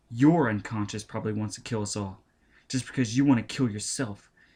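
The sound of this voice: Pitch varies just as it normally would. The reading voice is unforced.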